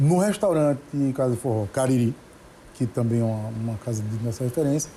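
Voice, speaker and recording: Lively intonation and a fairly quick pace mark this man's somewhat breathy, medium-pitched voice with a dark, mellow tone. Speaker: judge and singer-songwriter. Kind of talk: interview.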